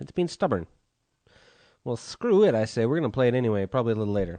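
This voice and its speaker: This man's voice has a dark, mellow tone at a medium pitch. His pitch swings very widely. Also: quiet background. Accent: American. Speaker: podcast host. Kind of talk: casual chat. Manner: casual, hesitant with many fillers.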